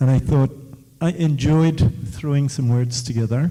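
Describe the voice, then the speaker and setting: A man's somewhat breathy, dark, mellow voice at medium pitch, ordinary in pitch variation and fairly slow. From West Africa. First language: West African Creole. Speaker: author in the audience. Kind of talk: audience question-and-answer talk. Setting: book launch event with audience.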